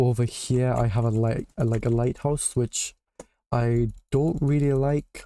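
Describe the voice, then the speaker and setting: A man with a northeastern English accent, medium pitch, a dark, mellow tone and fairly even intonation. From northeast England. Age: 20s. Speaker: gaming streamer. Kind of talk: casual live-stream chat. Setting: live stream.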